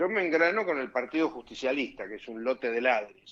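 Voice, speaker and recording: A man's medium-pitched voice carries lively intonation as he speaks at a moderate speed. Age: 60s. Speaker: lawyer and former judicial council member. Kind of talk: radio interview. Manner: animated.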